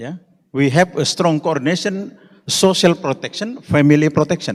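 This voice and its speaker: Speaking with an Indonesian accent, a man uses a fairly high pitch, lively intonation and a moderate pace. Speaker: conference speaker. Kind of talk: conference presentation. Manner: halting.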